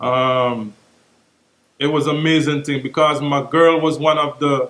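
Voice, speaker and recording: Speaking at a fairly slow pace, a man with a fairly high pitch keeps a monotone, flat intonation. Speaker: dancehall reggae artist. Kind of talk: interview.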